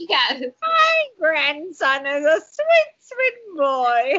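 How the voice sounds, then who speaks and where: In a put-on character voice, a woman talks very slowly at an extremely high pitch. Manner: sweet, doting.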